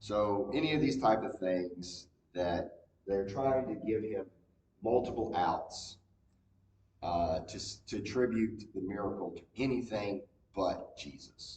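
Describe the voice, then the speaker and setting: A man's somewhat breathy, fairly low-pitched voice at a fairly slow pace, with long, frequent pauses, big swings in loudness and ordinary pitch variation. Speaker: Bible class teacher. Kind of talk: Bible study lecture. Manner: hesitant, many fillers.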